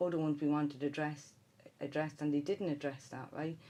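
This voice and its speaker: A woman's very deep, low voice in a Dublin accent, dark and mellow in tone, monotone and flat, at a fairly quick pace. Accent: Dublin Irish. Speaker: city councillor. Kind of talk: radio interview. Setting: studio.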